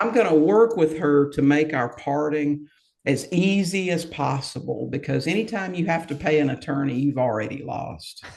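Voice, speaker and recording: An unremarkable speaking voice from a man, fairly high-pitched, with ordinary pitch variation and a moderate pace. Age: 60s. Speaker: real estate investor. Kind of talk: podcast interview.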